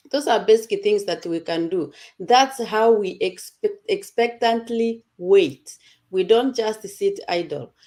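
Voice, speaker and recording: A dark, mellow tone carries a non-native accent at a very slow pace. Pitch varies in an ordinary way, and the recording is very clean with a silent background. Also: woman, fairly high pitch for a woman. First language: not English. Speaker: online community presenter. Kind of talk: casual group talk.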